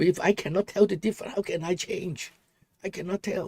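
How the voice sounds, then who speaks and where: A man with a strong Hong Kong accent speaks at a moderate pace. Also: dry, close sound with no echo. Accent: Hong Kong Cantonese accent in English, strong. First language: Cantonese. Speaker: political commentary livestreamer. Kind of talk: casual livestream talk. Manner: halting.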